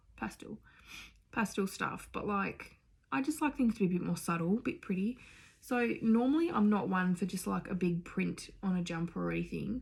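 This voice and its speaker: On a very clean recording with a silent background, a woman with an Australian accent speaks at a moderate pace, somewhat breathy, with lively intonation and medium pitch. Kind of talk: casual talk to camera.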